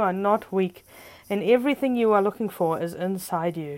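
Over a very clean recording with a silent background, a woman uses an ordinary speaking voice with lively intonation. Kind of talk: guided meditation. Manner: soft, slow, calm coaching with deliberate pauses and gentle commands; warm, encouraging and upbeat, chatty in the intro.

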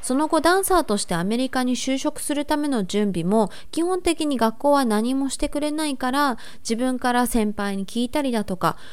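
A woman with an ordinary speaking voice talks at a fairly quick pace. Her intonation is lively. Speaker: dancer and vlogger. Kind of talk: casual informative talk to camera.

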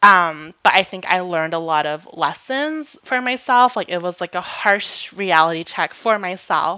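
Lively intonation carries an ordinary speaking voice. It belongs to a woman at a medium pitch. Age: 20s. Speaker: podcast co-host. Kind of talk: casual chat. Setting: remote recording, not in person.

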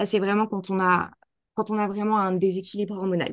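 A woman's mid-range voice moves along at a fairly brisk clip. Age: 30s. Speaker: naturopath and holistic therapist. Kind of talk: casual interview. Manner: hesitant, many fillers and repetitions.

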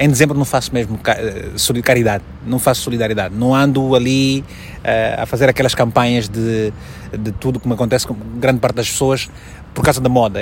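A man speaks at a medium pitch in an Angolan accent. His pace is fairly quick, over noticeable background noise. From Angola, Malanje province. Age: 30s. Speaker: journalist and TV presenter. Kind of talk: interview.

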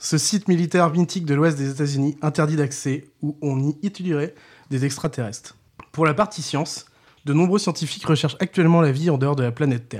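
Fairly quick speech from a man, fairly high-pitched, with ordinary pitch variation. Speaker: podcast co-host. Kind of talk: scripted narration. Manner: crooner voice for intro.

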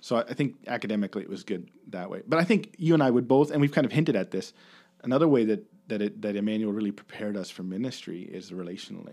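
Talking at a very fast pace with lively intonation and big swings in loudness, a man with a Canadian accent has a medium pitch and a dark, mellow tone, in a very clean recording with a silent background. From Ontario, Canada (Kincardine). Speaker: podcast guest host, former Bible college student. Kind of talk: casual chat.

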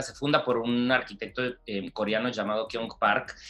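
Music in the background behind a man's medium-pitched voice. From Mexico, Mexicali (Baja California border). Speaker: architecture curator and gallery director. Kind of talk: interview. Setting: video call. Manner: hesitant, many repetitions and fillers.

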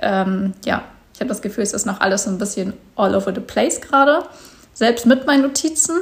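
Her intonation is lively, with a fairly high pitch. The woman's voice sounds somewhat breathy. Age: 20s. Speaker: podcast host and content creator. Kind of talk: casual solo monologue. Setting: at home on a couch. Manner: hesitant, filler words.

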